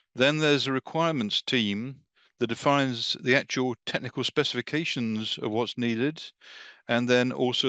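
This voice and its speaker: A man with a British accent speaks fairly quickly at a medium pitch with fairly even intonation, the sound dry and close with no echo. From England. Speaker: defense industry marketer. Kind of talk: webinar presentation. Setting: online video call.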